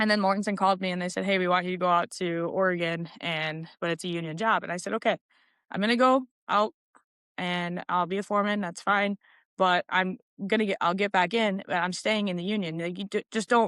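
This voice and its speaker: A woman speaks at a fairly quick pace with a medium pitch and fairly even intonation. The background is quiet. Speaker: heavy equipment operator and construction foreman. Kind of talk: casual interview chat. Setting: studio. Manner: loud; halting, many fillers.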